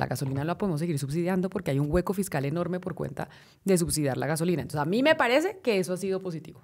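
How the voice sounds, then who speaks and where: A woman talks at a fairly low pitch with ordinary pitch variation. The background is quiet. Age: 30s. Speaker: journalist and political scientist; journalist. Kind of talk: interview. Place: studio. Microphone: studio mic.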